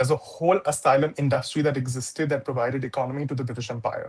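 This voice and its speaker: A man's somewhat breathy voice, monotone and flat, at a very fast pace. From India. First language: not English. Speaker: activist writer. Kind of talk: panel discussion.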